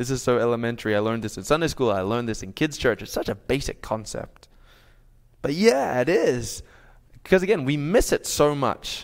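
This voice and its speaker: Speaking fairly quickly with an Australian accent, a man uses lively intonation at a medium pitch on a very clean recording with a silent background. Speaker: pastor. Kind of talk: sermon. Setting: church.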